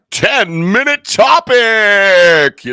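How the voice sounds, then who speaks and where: A man speaks in a high, put-on character voice whose pitch swings very widely. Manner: booming, broadcast-style.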